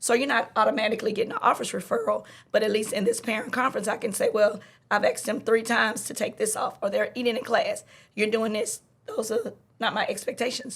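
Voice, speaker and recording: A woman talks at a very fast pace. She has a Louisiana accent. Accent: Southern US, Louisiana. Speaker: middle school teacher. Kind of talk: podcast conversation. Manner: speeds up when excited.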